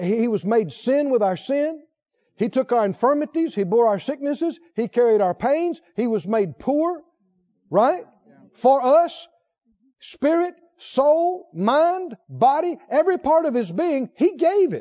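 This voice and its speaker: Speaking at an extremely high pitch, a man sounds animated, his pitch swinging very widely. His pace is fairly slow. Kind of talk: sermon, Bible teaching in full flow, rhetorical questions and repetition. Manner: emphatic, building repetition, preacher's cadence, rising intensity; animated, fervent, asks questions and answers them.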